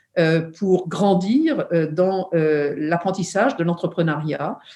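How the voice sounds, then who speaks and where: At a very slow pace, a woman speaks in a dark, mellow tone with ordinary pitch variation. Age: 70s. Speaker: entrepreneur and founder of a women's forum. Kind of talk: interview. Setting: video call. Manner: hesitant with many fillers.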